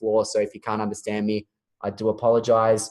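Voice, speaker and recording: With an Australian accent, the speaker rattles along at a very fast pace. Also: man. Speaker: webinar host, marketing manager. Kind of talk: webinar introduction and interview. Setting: online webinar call.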